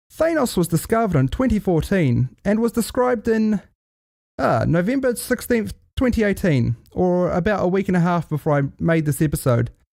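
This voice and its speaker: In a very clean recording with a silent background, the speaker talks at a moderate pace with a New Zealand accent. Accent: Kiwi twang. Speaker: podcast host. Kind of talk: comedic solo podcast monologue. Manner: animated.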